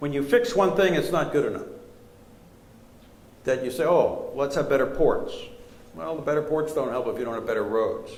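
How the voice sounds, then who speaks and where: A man talks amid noticeable background noise, with audible room echo. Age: 60s. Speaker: professor and strategy author. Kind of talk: lecture Q&A answer.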